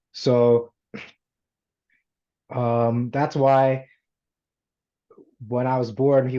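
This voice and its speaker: A man talks in a dark, mellow tone, keeping to a fairly slow pace. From United States. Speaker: self-improvement story guest. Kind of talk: interview storytelling.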